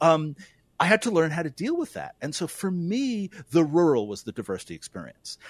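A man with an American accent, fairly high pitch, very wide pitch swings and big swings in loudness at a fairly quick pace, in a dry, close sound with no echo and a very clean recording with a silent background. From US Northeast, New York City. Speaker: philosophy professor. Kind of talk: radio interview.

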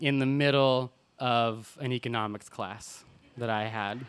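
A man with an American accent. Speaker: storyteller. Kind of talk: live personal storytelling. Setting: stage with audience. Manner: animated; humorous, conversational.

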